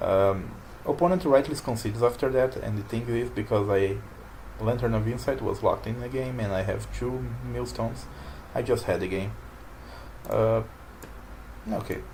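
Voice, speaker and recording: A man with a non-native accent talks at a moderate pace with long, frequent pauses and audible room echo. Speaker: card game player and commentator. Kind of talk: gameplay commentary. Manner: halting. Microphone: poor microphone.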